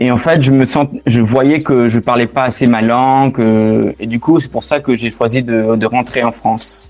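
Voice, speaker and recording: Over music in the background, a man with a slight non-native accent speaks at a medium pitch and a fairly slow pace, with fairly even intonation and hardly any pauses. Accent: slight foreign accent in French. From London and Barcelona, abroad. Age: 30s. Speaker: returning expatriate. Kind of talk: interview. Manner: hesitant.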